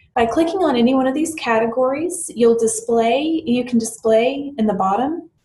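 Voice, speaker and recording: A woman with an American accent at a moderate pace. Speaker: software tutorial presenter. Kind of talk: screen-recorded tutorial. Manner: hesitant with fillers and self-corrections.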